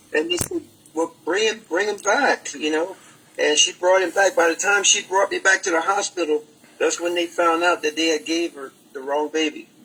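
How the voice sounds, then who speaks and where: A man with an American accent speaks at a high pitch, with ordinary pitch variation and a moderate pace. Noticeable background noise can be heard. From Maryland, US. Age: 70s. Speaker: martial arts grandmaster, former champion. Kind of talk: casual interview. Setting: live Facebook broadcast.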